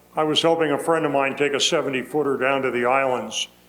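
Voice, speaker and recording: Noticeable background noise runs through the clip. A man speaks at a fairly high pitch. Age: 80s+. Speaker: retired solo sailor. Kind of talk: Q&A after a talk. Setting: talk in front of an audience.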